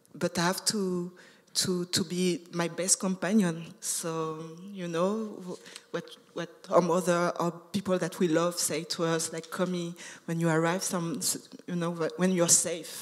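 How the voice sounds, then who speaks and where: The voice moves at a very slow pace in a monotone, flat delivery. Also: woman. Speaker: artist. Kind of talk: panel discussion. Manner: halting, many fillers and repetitions.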